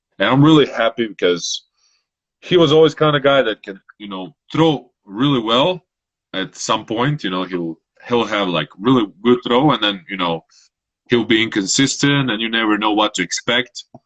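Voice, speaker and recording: A man talks in a medium-pitched voice. His pace is moderate and his intonation lively. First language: Croatian. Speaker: Olympic shot putter. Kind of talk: interview. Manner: halting.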